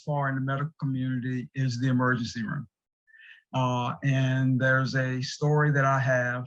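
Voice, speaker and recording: Here a man talks at a moderate pace in a medium pitch. His voice is somewhat breathy. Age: 60s. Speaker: recovery group co-founder, patient speaker. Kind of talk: testimony. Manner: halting.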